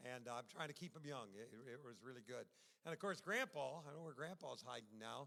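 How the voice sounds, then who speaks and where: A man talks at a very fast pace with an American accent, at a medium pitch with vocal fry. His tone is animated, bright and sharp. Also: ordinary pitch variation. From US Midwest, Michigan City, Indiana. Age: 70s. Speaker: retired pastor. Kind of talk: sermon. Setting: church.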